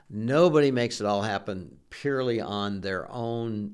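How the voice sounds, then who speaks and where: Audible room echo surrounds this recording. A man speaks at a fairly slow pace with an American accent. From US Midwest, Ohio. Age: 60s. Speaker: retired business founder. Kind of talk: interview. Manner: halting, repeats words.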